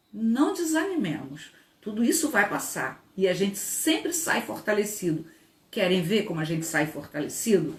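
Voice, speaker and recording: A woman speaks at a medium pitch and a moderate pace, her pitch swinging very widely in an animated tone. Noticeable background noise runs under her voice. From Brazil, Rio de Janeiro. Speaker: labor law professor and lawyer. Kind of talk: online lecture.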